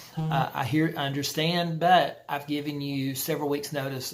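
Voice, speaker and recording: A man talks with a fairly high pitch in a monotone, flat intonation. Audible room echo surrounds his voice. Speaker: college instructor. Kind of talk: lecture. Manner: fast; halting.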